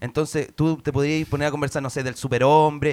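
With a Chilean accent, a man speaks at a fairly quick pace in a fairly high pitch. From Chile, Puente Alto. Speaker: comedian. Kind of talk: casual chat; comedic debate.

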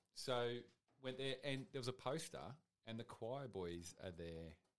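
The speaker has an Australian accent, a moderate pace and lively intonation. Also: man. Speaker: podcast producer. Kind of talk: casual chat. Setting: studio.

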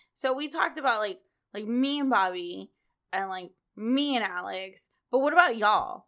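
A woman speaks loudly at a moderate pace, her fairly high voice making very wide pitch swings. The recording is very clean with a silent background. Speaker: podcast host. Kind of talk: casual chat.

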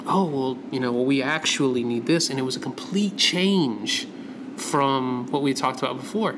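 With an American accent, a man talks at a moderate pace and medium pitch with ordinary pitch variation. Noticeable background noise and audible room echo are present. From US South. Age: 30s. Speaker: graphic designer. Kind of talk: casual interview. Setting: studio.

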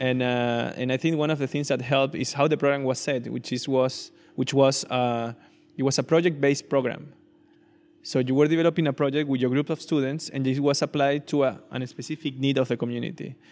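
A man speaks at a fairly quick pace with a Spanish accent, his fairly high pitch held monotone and flat. The recording is very clean, with a silent background. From Venezuela. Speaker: urbanist and fab lab director. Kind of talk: interview conversation. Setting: in person, noisy background.

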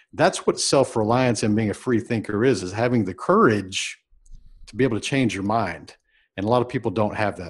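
Fairly quick speech from a man with an American accent, an ordinary speaking voice, medium pitch and ordinary pitch variation, big swings in loudness, on a very clean recording with a silent background. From Texas, Houston area. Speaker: entrepreneur and business mentor. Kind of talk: interview. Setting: podcast recording.

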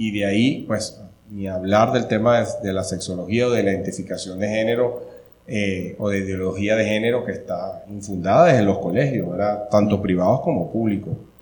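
Against noticeable background noise and audible room echo, a man speaks at a moderate pace with a fairly low pitch and fairly even intonation. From Venezuela. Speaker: family-advocacy event organizer. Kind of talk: interview conversation.

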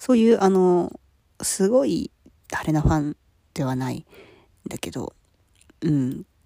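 At a fairly slow pace and a fairly low pitch, a woman speaks in a dark, mellow tone with very wide pitch swings, big swings in loudness and long, frequent pauses, the sound dry and close with no echo. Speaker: solo podcaster. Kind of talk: casual solo monologue. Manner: apologetic, casual, laughs often.

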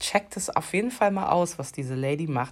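This very clean recording has a silent background. A woman with a very deep, low pitch speaks in an animated tone with ordinary pitch variation. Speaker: podcast host. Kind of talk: solo monologue podcast. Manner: animated, many fillers.

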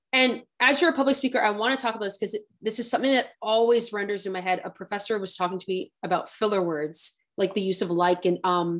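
Words pour out very fast, with hardly any pauses and ordinary pitch variation. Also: woman, medium pitch for a woman. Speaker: podcast host. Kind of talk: interview conversation.

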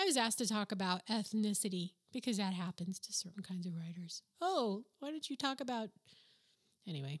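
In an American accent, a woman talks at medium pitch and a fairly quick pace, her animated, somewhat breathy voice full of lively intonation over a dry, close sound with no echo. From New Mexico. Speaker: novelist and podcast host. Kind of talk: casual monologue storytelling. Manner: animated, laughs often.

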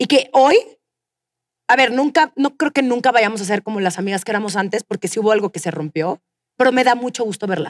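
In a dry, close recording with no echo, a woman with a fairly high pitch talks at a fairly quick pace with lively intonation. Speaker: podcast host. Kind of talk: live interview before audience; storytelling monologue. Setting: stage with audience.

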